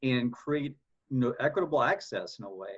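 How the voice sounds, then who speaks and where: This man's voice is somewhat breathy. It sits at a medium pitch. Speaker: writing specialist for student athletes. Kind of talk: podcast interview. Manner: halting, repeats words.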